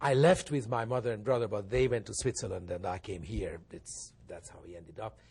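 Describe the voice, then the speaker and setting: In a Hungarian accent, a man talks at a fairly quick pace with hardly any pauses, his intonation lively and his pitch medium. His voice shows vocal fry and big swings in loudness. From Hungary. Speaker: pianist and think tank director. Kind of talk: interview.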